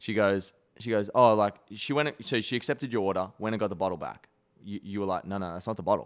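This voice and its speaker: In a very clean recording with a silent background, a man with an Australian accent speaks very fast at a fairly low pitch with ordinary pitch variation. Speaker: tennis player and podcast co-host. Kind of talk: casual chat. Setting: studio. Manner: animated.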